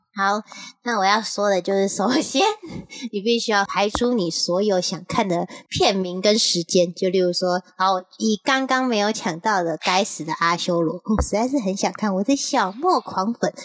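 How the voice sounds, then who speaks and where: A woman speaks at medium pitch and a moderate pace, with ordinary pitch variation and very even loudness, in a dry, close sound with no echo. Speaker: podcast co-host. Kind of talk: casual chat. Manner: animated.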